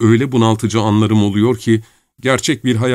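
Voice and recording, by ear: The speaker is reading aloud in a natural voice, with fairly even intonation. The background is quiet.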